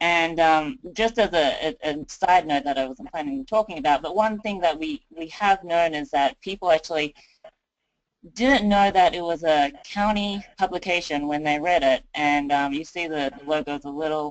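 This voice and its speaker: A woman with an Australian accent speaks in a fairly low pitch, her intonation lively. Her pace is moderate. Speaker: county communications designer. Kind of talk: webinar presentation. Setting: webinar.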